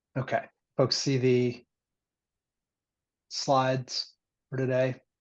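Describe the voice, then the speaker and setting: Very slowly, a man speaks in a monotone, flat intonation. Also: medium pitch for a man. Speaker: meeting chair. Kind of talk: online meeting presentation. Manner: low energy; halting, many fillers.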